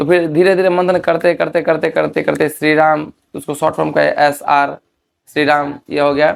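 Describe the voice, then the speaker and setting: In a normal speaking voice, the speaker keeps a fairly even intonation. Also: man, fairly high pitch for a man. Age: 20s. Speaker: folk singer. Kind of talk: interview. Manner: casual, repetitive.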